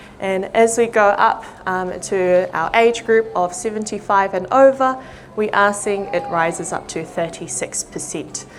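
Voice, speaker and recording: Over noticeable background noise, a woman with a New Zealand accent talks at a medium pitch and a fairly slow pace with ordinary pitch variation. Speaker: audiologist. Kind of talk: public talk. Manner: frequent fillers (um).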